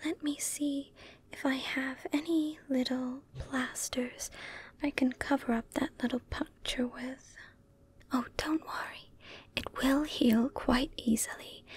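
Soft-spoken and with a gentle, soothing tone, the voice moves at a very slow pace in a dry sound with no echo. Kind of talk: soft-spoken roleplay, caring character dialogue. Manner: soft-spoken, gentle, soothing caretaker voice.

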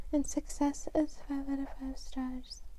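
Whispering very slowly, the woman is soft-spoken. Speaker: ASMR creator. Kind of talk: ASMR horoscope reading. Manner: whispered, soft. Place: home room. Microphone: lapel.

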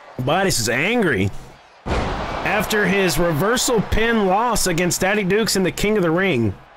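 Against noticeable background noise, a man with a high pitch talks at a moderate pace in an animated tone with lively intonation. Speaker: wrestling commentator. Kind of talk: live wrestling commentary. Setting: video game wrestling commentary voiceover. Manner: animated, excitable play-by-play. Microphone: headset.

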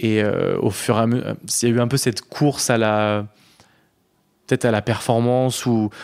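A medium-pitched male voice, monotone and flat, at a moderate pace and very even loudness, on a very clean recording with a silent background. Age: 30s. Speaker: interviewee sharing personal story. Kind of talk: casual chat. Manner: halting.

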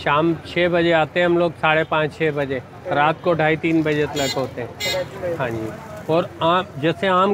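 Amid noticeable background noise, a man talks at a fairly slow pace with fairly even intonation and a dry sound with no echo. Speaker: street food vendor. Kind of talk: interview answer. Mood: earnest, proud of food. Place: street. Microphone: lapel.

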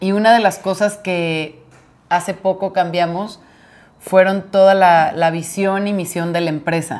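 Her pitch sits in the medium range and her intonation is monotone and flat. The woman speaks at a fairly slow pace. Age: 30s. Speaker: podcast co-host, florist; podcast co-host. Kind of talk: casual chat. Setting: home. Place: home room. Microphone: lapel.

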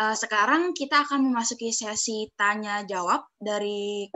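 A woman with a plain, everyday voice talks at a fairly high pitch with ordinary pitch variation over a quiet background. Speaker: webinar moderator. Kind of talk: formal moderating. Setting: video call. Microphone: video call.

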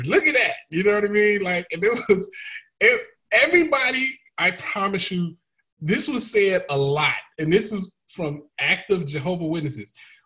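A man with an American accent speaks at a moderate pace in a raised, projected voice, high in pitch with very wide pitch swings and a bright, sharp tone, against a quiet background. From United States. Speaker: comedian and YouTuber; comedian, YouTuber. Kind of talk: casual panel discussion. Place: home room. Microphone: video call.

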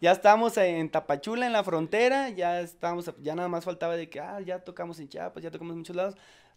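A man speaks at a very fast pace and a high pitch, with big swings in loudness. The background is quiet. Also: ordinary pitch variation, hardly any pauses. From Monterrey, northern Mexico; Mexico. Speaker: ska band singer; interviewee. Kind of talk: casual interview chat. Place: home room. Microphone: handheld.

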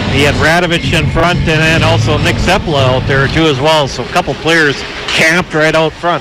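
There is noticeable background noise as a man speaks in a monotone, flat intonation, recorded dry with no echo. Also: fairly high pitch for a man, moderate pace. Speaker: color commentator. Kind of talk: live sports broadcast analysis; sports commentary. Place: stadium.

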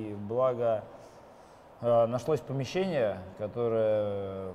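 Light background noise sits under a man's medium-pitched voice. His tone is dark and mellow, with ordinary pitch variation. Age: 30s. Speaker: football fan leader. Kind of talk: interview. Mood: relaxed, smiling.

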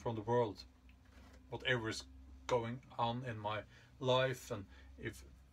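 Speaking slowly at a medium pitch, a man keeps his intonation fairly even.

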